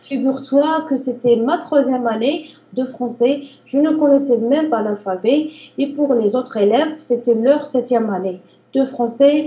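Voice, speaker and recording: The woman's voice is high in pitch, with ordinary pitch variation. She speaks at a fairly slow pace. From Algeria. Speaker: language learner. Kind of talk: interview.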